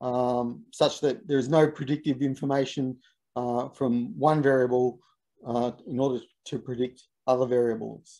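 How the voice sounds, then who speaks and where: A man with a dark, mellow tone speaks in a monotone, flat intonation at a moderate pace. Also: quiet background. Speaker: university researcher, seminar speaker; presenter. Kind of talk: academic lecture; Q&A answer. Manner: halting, many fillers. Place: home room. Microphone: video call.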